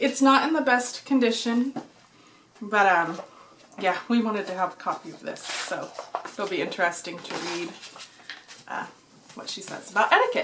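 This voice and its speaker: Fairly high-pitched woman's voice at a moderate pace, ordinary pitch variation, noticeable background noise. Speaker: book vlogger. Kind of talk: casual vlog and book haul.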